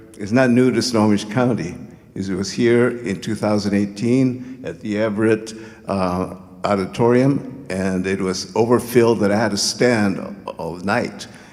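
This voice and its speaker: A man talks at a fairly slow pace amid audible room echo and noticeable background noise. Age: 70s. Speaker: community activist. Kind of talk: public speech. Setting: stage with audience. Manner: halting.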